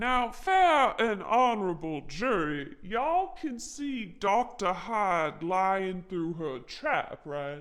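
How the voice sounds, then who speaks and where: A woman uses a put-on character voice at a medium pitch, with very wide pitch swings. She speaks at a very slow pace with hardly any pauses. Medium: role play.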